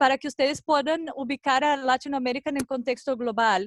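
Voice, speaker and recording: A woman with a non-native accent talks at a high pitch. The sound is dry and close with no echo, over a quiet background. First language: not Spanish (speaking Spanish). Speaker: NGO researcher. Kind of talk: conference presentation. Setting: video call. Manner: halting.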